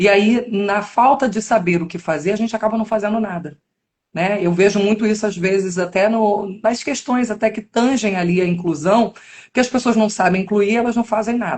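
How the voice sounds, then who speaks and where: Some breathiness runs through this female voice. It stays at a medium pitch. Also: ordinary pitch variation, moderate pace. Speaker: podcast host, educational psychologist. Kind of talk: interview.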